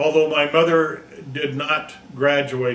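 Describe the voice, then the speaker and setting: A man with fairly even intonation, over noticeable background noise and audible room echo. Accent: American. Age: 60s. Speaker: high school teacher. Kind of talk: personal presentation. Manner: halting.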